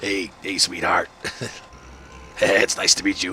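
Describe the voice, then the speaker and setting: A man puts on a raspy character voice, fairly low in pitch, at a moderate pace against clear background noise. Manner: flirty, greeting.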